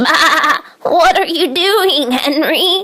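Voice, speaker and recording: A put-on character voice from a woman, extremely high-pitched, with very wide pitch swings. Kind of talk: bedtime story. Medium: read story.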